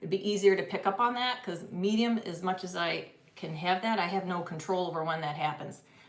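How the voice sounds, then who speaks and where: Fairly quick speech with hardly any pauses, in audible room echo. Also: woman, medium pitch for a woman, ordinary pitch variation. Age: 50s. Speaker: tarot reader and medium. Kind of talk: live-stream tarot reading. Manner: fast; energetic.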